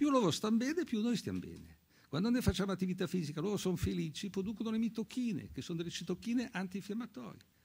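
A man speaks very fast at a high pitch. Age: 80s+. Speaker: physician and author; doctor on a panel. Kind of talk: panel talk. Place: hall. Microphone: podium.

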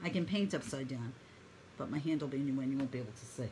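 Over light background noise, a woman speaks very fast with a very deep, low pitch and ordinary pitch variation. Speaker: painting instructor. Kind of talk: live online painting tutorial. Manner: talkative, friendly; warm, encouraging.

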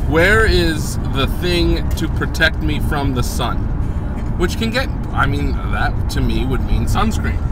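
The man's voice is dry with no echo, yet loud noise fills the background. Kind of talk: casual vlog chat. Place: car. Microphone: phone near.

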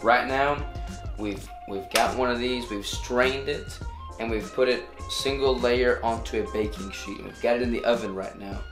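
A man delivers his words at a moderate pace. Music sounds clearly behind him. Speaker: cooking channel host. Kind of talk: tutorial. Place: kitchen. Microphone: camera far.

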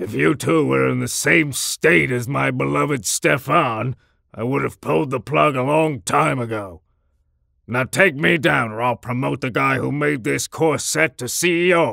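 A man at medium pitch speaks at a moderate pace with very wide pitch swings. The sound is dry and close, with no echo. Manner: contemptuous, scornful.

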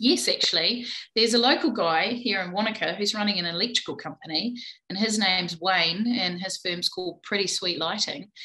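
Against a quiet background, a woman talks at a fairly quick pace in a New Zealand accent. Her tone is bright and sharp, with ordinary pitch variation. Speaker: plumbing business owner; podcast guest. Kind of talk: interview. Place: home room. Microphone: video call.

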